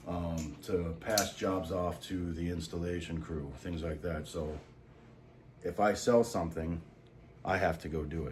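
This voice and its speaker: A man with a very deep, low pitch at a fairly slow pace, fairly even in intonation, with audible room echo. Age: 30s. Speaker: salesman and vlogger. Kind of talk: casual monologue vlog. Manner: casual, profane, halting with fillers.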